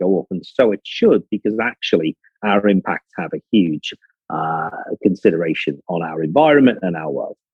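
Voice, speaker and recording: A man with a Liverpool accent speaks at a fairly low pitch. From northern England, Liverpool. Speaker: business executive. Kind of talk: conference talk.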